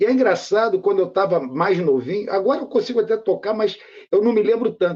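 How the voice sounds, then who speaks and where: The man's high pitch and lively intonation come at a fairly quick rate. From Rio de Janeiro, Brazil (Méier). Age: 60s. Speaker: poet and musician. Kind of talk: interview.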